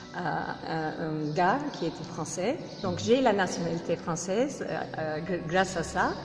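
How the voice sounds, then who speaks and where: A woman speaks with a Turkish accent at a fairly slow pace, her pitch fairly low and her intonation lively. There is audible room echo and noticeable background noise. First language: Turkish (speaking French). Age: 40s. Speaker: interviewee. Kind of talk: interview. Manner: halting.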